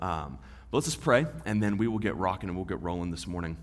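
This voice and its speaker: A man with a Texan accent and ordinary pitch variation, music in the background and audible room echo. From West Texas. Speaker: divinity student, guest preacher. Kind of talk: sermon.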